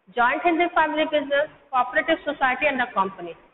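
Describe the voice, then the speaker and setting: A high-pitched woman talks at a very fast pace with ordinary pitch variation, over light background noise and audible room echo. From India. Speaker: school teacher. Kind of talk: lecture. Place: classroom. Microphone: camera far.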